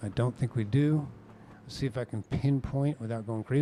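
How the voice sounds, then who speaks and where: A man speaks at a fairly quick pace with a dark, mellow tone. His pitch is medium, with ordinary pitch variation. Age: 60s. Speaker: sim racing commentator. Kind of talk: live commentary. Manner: animated.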